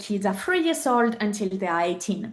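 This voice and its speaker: A woman speaks in a French accent at a medium pitch. The background is quiet. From southern France. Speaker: podcast guest, mother and entrepreneur. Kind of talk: interview.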